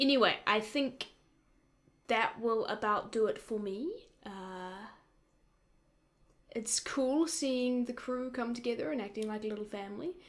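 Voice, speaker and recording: In a very clean recording with a silent background, a woman with a New Zealand accent talks at a fairly slow pace in a fairly high pitch, using ordinary pitch variation and long, frequent pauses. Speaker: YouTube reaction creator. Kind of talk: casual reaction commentary. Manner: casual, hesitant with fillers.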